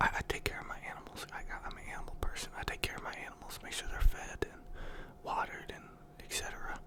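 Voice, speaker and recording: Over noticeable background noise, a man whispers at a fairly quick pace. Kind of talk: ASMR casual talk about the day. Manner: soft-spoken.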